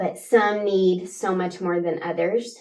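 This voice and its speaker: Here a woman with an American accent speaks at a fairly slow pace. Her pitch is medium, with ordinary variation. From West Texas, Midland area. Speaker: pre-K teacher. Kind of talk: interview.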